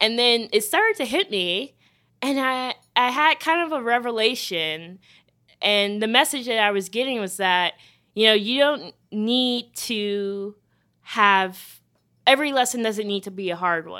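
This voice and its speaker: A woman with an American accent, fairly high pitch, bright, sharp tone and lively intonation at a fairly slow pace, in a very clean recording with a silent background. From US South, Charleston, South Carolina. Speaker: drug policy advocate. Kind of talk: interview conversation.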